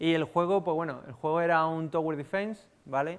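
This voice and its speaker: Talking at a fairly quick pace, a man speaks in a Sevillian accent. The recording is very clean, with a silent background. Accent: Andalusian (Seville), noticeable. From Spain, Seville (Andalusia). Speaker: software developer, conference speaker. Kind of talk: conference talk. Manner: casual, hesitant with fillers.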